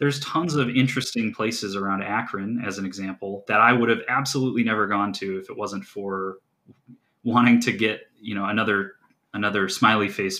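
A man with a Midwestern American accent talks at a fairly quick pace and a fairly low pitch, with fairly even intonation. His tone is bright and sharp, with big swings in loudness. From US Midwest, northeast Ohio. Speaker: geocaching hobbyist. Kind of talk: casual chat.

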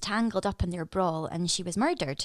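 Her voice sits at a medium pitch, with ordinary pitch variation. She is a woman with a Scottish accent. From Scotland. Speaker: actress. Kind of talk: casual chat. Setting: video call.

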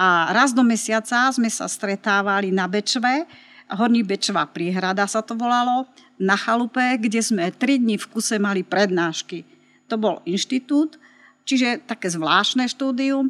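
A woman speaks in an ordinary speaking voice at a fairly slow pace and fairly high pitch, with ordinary pitch variation. The recording is very clean with a silent background and a dry, close sound with no echo. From Slovakia, Martin. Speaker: photography teacher. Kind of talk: interview.

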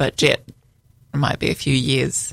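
A woman with an Australian accent, very deep and low in pitch, at a fairly slow pace. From Australia, Sydney. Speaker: mother of a newborn. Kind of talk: casual chat. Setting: studio.

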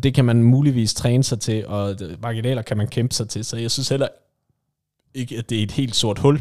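An ordinary speaking voice from a man at medium pitch and moderate pace. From West Jutland, Denmark. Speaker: football podcast co-host. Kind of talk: casual chat.

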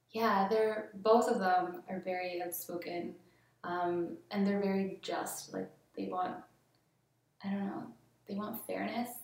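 Speaking with a slight Canadian accent, the voice stays monotone and flat, broken by long, frequent pauses. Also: woman, medium pitch for a woman. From Colombia. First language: Spanish. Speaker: graphic designer and artist. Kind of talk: casual interview chat.

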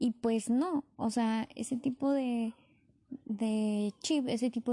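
A woman with a fairly high pitch speaks in a dark, mellow tone with fairly even intonation, and the sound is dry and close with no echo. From Tijuana, Baja California, Mexico. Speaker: podcaster. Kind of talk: personal reflection monologue.

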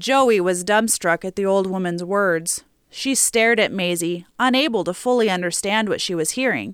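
The speaker uses an unforced reading voice with ordinary pitch variation.

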